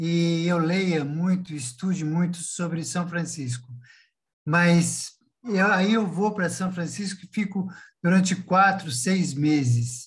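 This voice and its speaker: The man's pitch is high, with ordinary variation. He talks at a very slow pace. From Brazil, São Paulo city. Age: 60s. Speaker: entrepreneur, former state secretary. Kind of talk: casual chat. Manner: halting; animated.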